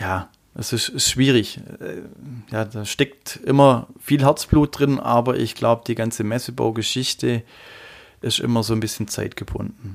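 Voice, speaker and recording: A man speaks in an ordinary speaking voice at a medium pitch. His pace is fairly slow, with fairly even intonation. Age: 40s. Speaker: trade show fitter. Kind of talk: interview.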